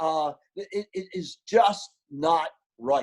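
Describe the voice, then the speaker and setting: Ordinary pitch variation in the voice of a man. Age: 70s. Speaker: sales expert and keynote speaker. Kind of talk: webinar interview. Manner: high energy; repetitive false starts.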